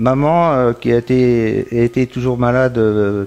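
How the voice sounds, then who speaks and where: Over noticeable background noise, a man at medium pitch speaks at a very slow pace with fairly even intonation. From northern France, Pas-de-Calais (Isbergues). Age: 60s. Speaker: magnetic healer. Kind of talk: interview testimony. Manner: hesitant, many fillers and repetitions.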